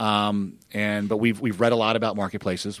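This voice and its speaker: Speaking in a fairly low pitch, a man talks with an American accent. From Alabama, US South. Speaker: startup founder. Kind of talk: casual interview. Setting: studio. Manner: repetitive stammering starts.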